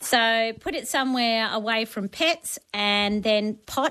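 A woman speaks in an Australian accent with a bright, sharp tone and fairly high pitch. The recording is very clean, with a silent background. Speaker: gardening expert. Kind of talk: talkback radio advice.

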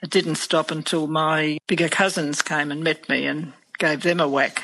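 In an Australian accent, a woman speaks at a moderate pace with a very deep, low pitch. Her tone is bright and sharp. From Australia, rural Victoria (Swan Hill area). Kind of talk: interview. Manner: halting, with frequent fillers.

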